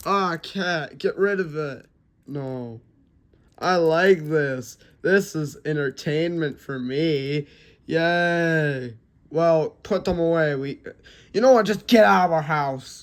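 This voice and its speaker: The voice is a put-on character voice at a middle pitch. It moves at a very slow pace. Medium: solo performance. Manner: alarmed, nagging.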